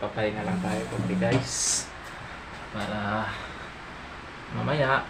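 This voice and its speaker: A soft-spoken man with a fairly low pitch and lively intonation talks at a very slow pace with long, frequent pauses, amid audible room echo and noticeable background noise. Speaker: vlogger, family breadwinner. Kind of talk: casual vlog. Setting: at home at night, kitchen.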